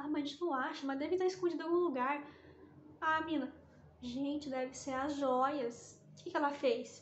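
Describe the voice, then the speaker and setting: High-pitched and with ordinary pitch variation, a woman speaks with big swings in loudness. Audible room echo surrounds her voice. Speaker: book vlogger. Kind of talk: casual chat. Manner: fast; animated.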